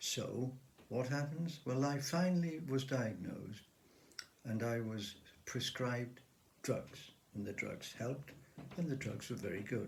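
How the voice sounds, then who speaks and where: A somewhat breathy man talks at a fairly slow pace in a medium pitch with ordinary pitch variation. His speech has long, frequent pauses and audible room echo. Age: 70s. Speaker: author with Parkinson's disease. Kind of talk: personal testimony to camera.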